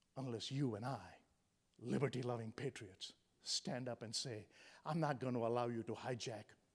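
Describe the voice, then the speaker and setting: A man with a medium pitch and a somewhat breathy voice speaks with long, frequent pauses. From India. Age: 60s. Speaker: motivational speaker. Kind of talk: motivational speech. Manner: animated.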